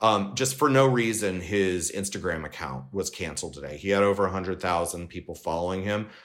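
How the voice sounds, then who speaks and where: A man with a Californian accent speaks at a moderate pace in a very deep, low voice, with ordinary pitch variation and hardly any pauses. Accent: Californian American. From Southern California. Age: 40s. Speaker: LGBTQ Republican organization leader. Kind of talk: interview. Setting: remote from home.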